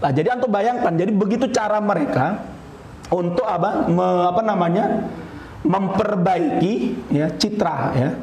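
Heard with audible room echo, a man speaks at a high pitch in an animated tone, with lively intonation and very even loudness. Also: moderate pace. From Indonesia. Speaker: Islamic preacher; religious teacher. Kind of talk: religious lecture. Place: hall. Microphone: podium.

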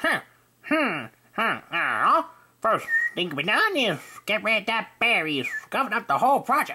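A cartoonish character voice that sounds female, pitched fairly high, moves along at a moderate pace. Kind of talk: cartoon character audition. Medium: voice reel.

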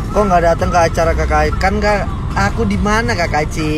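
A man speaks at a moderate pace, with dry sound and no echo. Clear music plays in the background. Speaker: livestreamer. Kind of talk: casual livestream chat reading comments. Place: car. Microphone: phone near.

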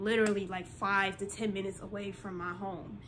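Light background noise behind a woman speaking. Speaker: vlogger. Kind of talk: casual vlog chat. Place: home room. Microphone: phone near.

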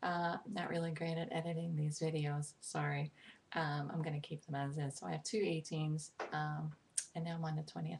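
A woman with an American accent speaks at a moderate pace in a very deep, low voice that is somewhat breathy. Her intonation is fairly even, and there is light background noise. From New York, Brooklyn. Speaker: poetry vlogger. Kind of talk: casual talk to camera, informal intro. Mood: friendly, slightly sheepish. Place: home room. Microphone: webcam.

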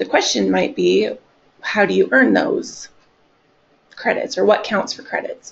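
An American accent with long, frequent pauses and big swings in loudness. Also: woman. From Nebraska, North Platte; Nebraska. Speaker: continuing education coordinator; presenter. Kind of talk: webinar presentation. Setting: live online webcast. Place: meeting room.

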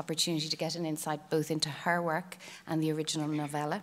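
The speaker has an Irish accent. The pace is fairly quick. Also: woman. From Ireland. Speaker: panel chair. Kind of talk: formal introductions. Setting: stage with audience. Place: stage. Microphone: podium.

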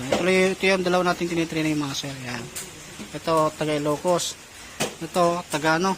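Speech moves at a moderate pace with long, frequent pauses against noticeable background noise. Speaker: motorcycle mechanic. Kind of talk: tutorial.

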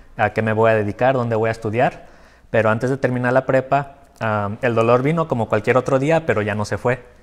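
At a fairly quick pace, a man speaks with fairly even intonation. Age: 20s. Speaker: patient with chronic illness; interview guest. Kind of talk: interview. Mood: reflective, personal story. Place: studio. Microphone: lapel.

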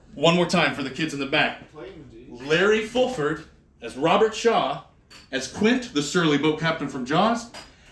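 Light background noise along with audible room echo. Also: man, moderate pace. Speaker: stand-up comedian. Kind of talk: stand-up comedy set. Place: bar.

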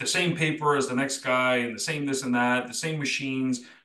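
Audible room echo surrounds a man's bright, sharp tone as he speaks at a moderate pace. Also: quiet background. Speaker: podcast co-host and detailing software company founder; podcast co-host. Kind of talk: casual chat. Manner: animated. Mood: relaxed, reflective. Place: home room. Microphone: video call.

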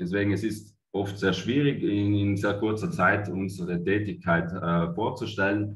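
A man speaks in a fairly low pitch, somewhat breathy. His loudness swings a lot. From Italy. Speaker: cooperative managing director. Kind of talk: conference presentation. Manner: hesitant, many fillers. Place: home room. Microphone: webcam.

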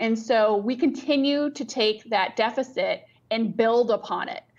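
A woman speaks with ordinary pitch variation. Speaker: remote guest. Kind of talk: interview answer. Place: office. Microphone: video call.

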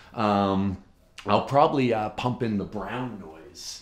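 Over faint music and audible room echo, a man speaks at a fairly slow pace with a fairly low pitch and ordinary pitch variation. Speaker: comedian. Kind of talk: casual vlog chat. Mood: wry, self-deprecating. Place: home room.

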